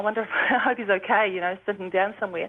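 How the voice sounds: This is a woman talking. She has a New Zealand accent.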